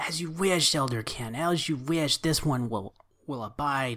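Delivered at a fairly slow pace, a put-on character voice sits at a low-to-middle pitch. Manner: formal, deferential, speaks of itself as "this one"; broken, halting phrasing.

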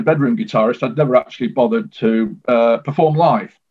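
Music plays in the background. A man speaks with a Mancunian accent. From northern England, Manchester. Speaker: guitarist. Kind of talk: interview. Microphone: poor internet connection.

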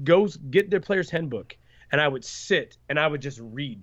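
A man has a plain, everyday voice at a fairly high pitch. He talks at a moderate pace with lively intonation. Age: 20s. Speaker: card game designer. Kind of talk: interview.

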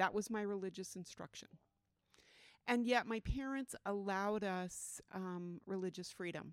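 A woman speaks at a moderate pace and a medium pitch. She has an unremarkable speaking voice with ordinary pitch variation. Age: 60s. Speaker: religious testimony guest. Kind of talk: testimony. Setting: at a festival museum.

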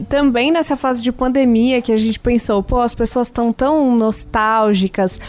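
The speech moves at a moderate pace with hardly any pauses, fairly even intonation and very even loudness. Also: woman, high pitch for a woman. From Rio de Janeiro, Brazil. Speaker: singer in a duo. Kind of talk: radio interview. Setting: radio studio.

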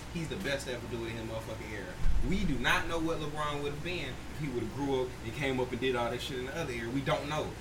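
With ordinary pitch variation, the voice comes through noticeable background noise and audible room echo. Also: man. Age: 20s. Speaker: podcast co-host. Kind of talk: casual chat.

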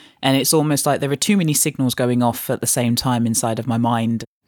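Recorded very cleanly against a silent background, with a dry, close sound and no echo, a woman with a London accent speaks at a very deep, low pitch with fairly even intonation. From East London, England, West Indian parents. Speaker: coffee blogger and author. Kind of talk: personal storytelling.

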